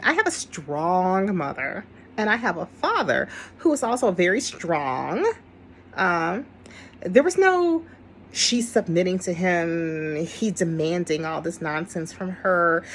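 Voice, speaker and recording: Against noticeable background noise, a woman with a medium-pitched voice speaks at a fairly slow pace in an animated tone with lively intonation. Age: 60s. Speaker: video commentator. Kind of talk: casual monologue.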